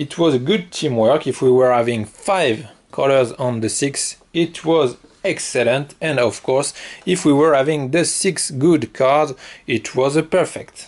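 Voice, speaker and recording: A man's fairly high-pitched voice with a strong non-native accent, at a fairly slow pace, with very even loudness and ordinary pitch variation. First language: French. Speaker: board game reviewer. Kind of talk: tutorial. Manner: hesitant, many fillers.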